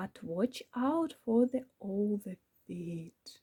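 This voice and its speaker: Very slowly, a woman uses a squeaky put-on character voice at medium pitch. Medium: read story. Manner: confident, bossy.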